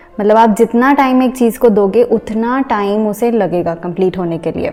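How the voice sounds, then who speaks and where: A woman with an Indian accent speaks at a moderate pace and a fairly high pitch, with ordinary pitch variation. Noticeable background noise sits behind her. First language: Hindi. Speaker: engineer and vlogger. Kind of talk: casual vlog tutorial. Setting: at home.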